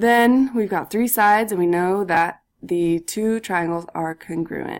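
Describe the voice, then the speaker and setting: At a fairly slow pace, a woman speaks in an ordinary speaking voice of medium pitch with ordinary pitch variation, in a very clean recording with a silent background. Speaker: math teacher. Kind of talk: recorded lesson tutorial.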